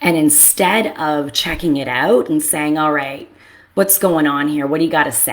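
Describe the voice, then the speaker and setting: Her voice is very deep and low for a woman, moving at a moderate pace with ordinary pitch variation. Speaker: therapist. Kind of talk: casual monologue. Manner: loud; animated.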